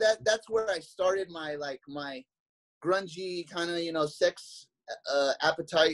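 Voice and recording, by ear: This man has a high-pitched voice with ordinary pitch variation and talks at a fairly slow pace.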